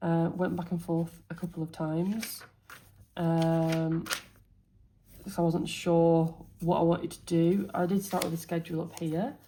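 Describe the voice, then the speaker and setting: A woman speaks at a moderate pace with a fairly low, somewhat breathy voice. Her tone is dark and mellow. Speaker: teacher and planner youtuber. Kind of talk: casual planner walkthrough.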